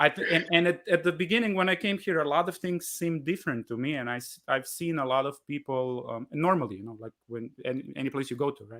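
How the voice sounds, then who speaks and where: At a very fast pace with hardly any pauses, a man speaks in a bright, sharp tone with a Slovenian accent. The recording is very clean, with a silent background. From Slovenia, Kranj. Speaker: jazz musician, bandleader. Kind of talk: live Q&A interview. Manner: halting, many repetitions.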